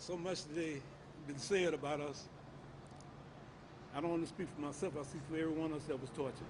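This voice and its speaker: The somewhat breathy voice runs at a very fast pace with fairly even intonation and long, frequent pauses, and room echo is audible. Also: man, fairly high pitch for a man. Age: 70s. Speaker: torture survivor, activist. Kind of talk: testimony, reading a statement. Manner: halting.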